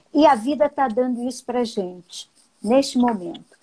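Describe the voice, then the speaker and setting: A woman speaks at a high pitch with a dark, mellow tone. Her pace is fairly slow and her pitch variation is ordinary. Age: 60s. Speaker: sociologist and educator. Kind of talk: live-stream talk. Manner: conversational.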